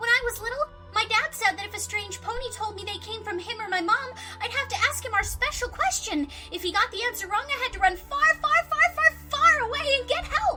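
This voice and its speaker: A put-on character voice, female-sounding and extremely high in pitch, at a fairly quick pace with clear background noise. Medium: audio drama. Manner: chatty, rambling.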